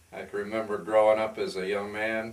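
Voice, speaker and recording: Audible room echo surrounds a man with an American accent and fairly low pitch who talks at a moderate pace. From northern Pennsylvania. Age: 60s. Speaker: businessman and photographer. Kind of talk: interview.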